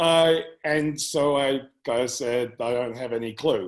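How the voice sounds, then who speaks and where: In an English accent, a man speaks with ordinary pitch variation. The background is quiet. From England. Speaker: business owner. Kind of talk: interview.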